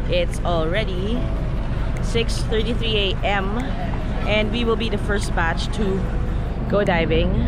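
A woman's very slow speech, dry with no echo, over music in the background. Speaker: vlogger. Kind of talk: casual vlog chat. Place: boat. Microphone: phone near.

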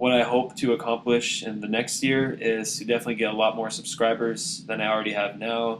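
With fairly even intonation, a man talks in a medium pitch. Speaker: YouTube app reviewer. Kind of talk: casual talk to camera. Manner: monotone.

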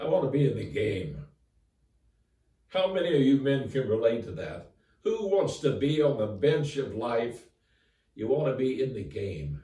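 A man speaks at a fairly slow pace with audible room echo over a quiet background. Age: 80s+. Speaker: former college football player, author. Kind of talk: interview answer, inspirational message. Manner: earnest, upbeat. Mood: earnest, encouraging. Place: home room. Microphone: camera far.

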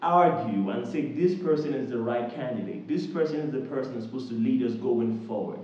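Audible room echo trails the words as a man talks. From Nigeria. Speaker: YouTuber. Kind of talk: direct-to-camera appeal. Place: home room.

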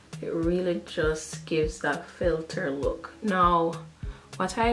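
A woman's fairly low voice with ordinary pitch variation at a fairly slow pace, faint music in the background. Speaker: beauty vlogger. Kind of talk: casual tutorial chat. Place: bathroom.

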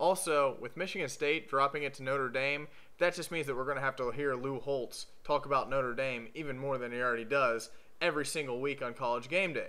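A man speaks at a fairly quick pace in a bright, sharp tone, his fairly high pitch held to fairly even intonation. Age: 20s. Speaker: sports video blogger, Ohio State fan. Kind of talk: scripted commentary monologue. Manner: sarcastic, joking. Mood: joking, sarcastic. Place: home room. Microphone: webcam.

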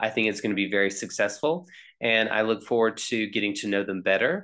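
A man speaks at a fairly low pitch with a bright, sharp tone. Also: quiet background. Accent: American. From US South, North Carolina. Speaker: teacher. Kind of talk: self-introduction video. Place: home room. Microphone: webcam.

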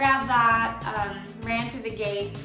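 A woman is speaking. Clear music plays behind her. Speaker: flight attendant vlogger. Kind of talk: casual vlog chat. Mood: animated, laughing storytelling. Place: bathroom. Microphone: phone near.

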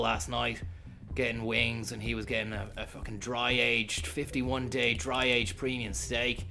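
With faint music in the background, a man speaks at a moderate pace with ordinary pitch variation. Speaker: streamer. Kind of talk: comedic storytelling while gaming. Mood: deadpan joking.

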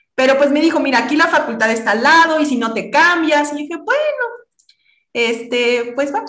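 Her tone is bright and sharp, high-pitched, with lively intonation at a moderate pace. The woman's voice carries audible room echo. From Mexico, Tabasco. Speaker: physicist and high school teacher; high school teacher. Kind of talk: interview. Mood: warm, reflective. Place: home room. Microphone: video call.

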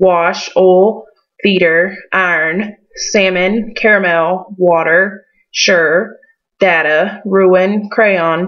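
In a Southern US accent, a woman at medium pitch speaks very slowly with fairly even intonation. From western North Carolina foothills. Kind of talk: casual talk to camera. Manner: hesitant, many fillers.

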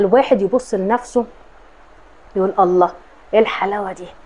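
A woman's voice with ordinary pitch variation. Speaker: horoscope channel host. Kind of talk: casual astrology talk to camera. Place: home room. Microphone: lapel.

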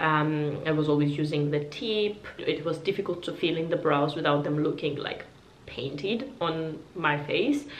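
A woman talks at a fairly slow pace in a very deep, low voice with ordinary pitch variation, with audible room echo and light background noise. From Georgia (country). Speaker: beauty YouTuber. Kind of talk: product review vlog. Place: home room.

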